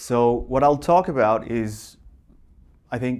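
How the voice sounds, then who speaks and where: On a very clean recording with a silent background, a man with a Portuguese accent speaks with ordinary pitch variation. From Portugal. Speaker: software engineer. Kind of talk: conference talk. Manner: halting, many fillers.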